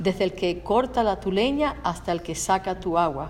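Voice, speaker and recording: A woman with a medium pitch talks at a fairly quick pace over noticeable background noise. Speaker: Spanish interpreter. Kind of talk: consecutive interpretation of a sermon.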